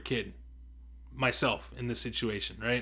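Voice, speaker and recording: A bright, sharp tone with vocal fry, in an American accent. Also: man, very clean recording, silent background. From US, Mexican heritage. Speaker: podcast co-host. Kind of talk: casual chat.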